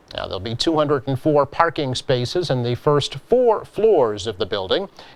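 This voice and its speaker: Fairly high in pitch, a man speaks at a moderate pace with very wide pitch swings. Noticeable background noise runs underneath. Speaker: local TV news host. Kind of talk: local news read.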